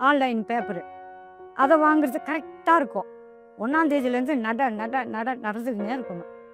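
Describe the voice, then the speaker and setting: Music plays in the background as a woman with a high pitch speaks with lively intonation. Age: 70s. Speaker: milk delivery woman. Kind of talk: interview answer.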